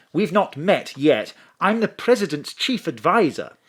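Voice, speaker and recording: With an English accent and vocal fry, a man talks at a fairly slow pace with very wide pitch swings on a very clean recording with a silent background. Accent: posh English, plummy. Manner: polite, formal.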